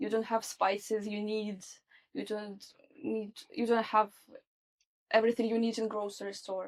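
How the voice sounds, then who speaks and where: A woman with a Russian accent and a fairly high pitch speaks in a monotone, flat intonation at a moderate pace, taking long, frequent pauses. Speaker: social adaptation specialist. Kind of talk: interview.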